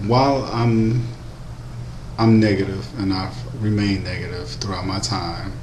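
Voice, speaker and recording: In a room with audible echo and noticeable background noise, a man with a fairly low pitch and ordinary pitch variation speaks at a moderate pace, leaving long, frequent pauses. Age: 20s. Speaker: vlogger. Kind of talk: personal vlog monologue. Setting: at work. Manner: speaking quietly; hesitant with many ums.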